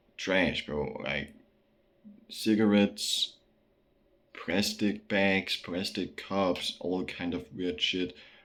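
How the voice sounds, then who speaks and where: Speaking with a Danish accent, a man talks at a very slow pace. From Denmark. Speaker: vlogger. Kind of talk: casual monologue. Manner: halting, many fillers.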